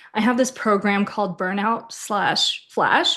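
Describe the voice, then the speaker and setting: Against a quiet background, a woman with an American accent speaks fairly slowly at a fairly high pitch with ordinary pitch variation. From US, born in Ukraine. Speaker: intuitive reader. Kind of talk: casual chat. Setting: podcast. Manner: animated.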